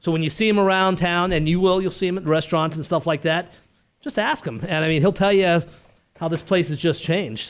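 A man's high voice with an American accent, ordinary pitch variation and a fairly quick pace. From Arizona. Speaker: real estate agent and podcast host. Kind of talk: casual interview chat. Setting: studio.

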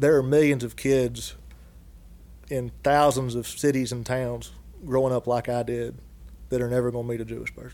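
A man talks in a strong Southern US accent, monotone and flat, at a moderate pace. His tone is dark and mellow, with long, frequent pauses. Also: medium pitch for a man. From Dallas, Georgia, US South. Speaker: guest, construction industry worker. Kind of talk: casual interview conversation.

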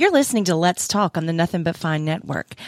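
Lively intonation marks a woman's speech on a very clean recording with a silent background. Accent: Southern US. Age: 40s. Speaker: podcast host. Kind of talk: casual chat.

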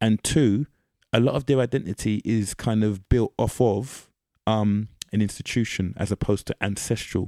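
With a London accent, a man speaks in a fairly low, dark, mellow voice and fairly even intonation, recorded very cleanly against a silent background in a dry, close sound with no echo. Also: moderate pace. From East London, England. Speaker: podcast guest. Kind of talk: casual chat.

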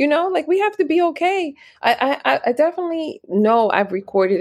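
A woman talks at a fairly quick pace. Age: 40s. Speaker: podcast host. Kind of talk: solo casual monologue. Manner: conversational with frequent fillers and laughs.

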